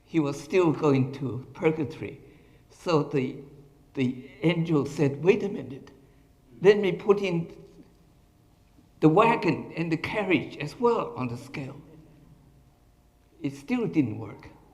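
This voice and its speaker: The voice comes at a fairly slow pace with long, frequent pauses, lively intonation, big swings in loudness and audible room echo. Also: man, fairly high pitch for a man. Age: 80s+. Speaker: retired professor giving a talk. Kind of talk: lecture.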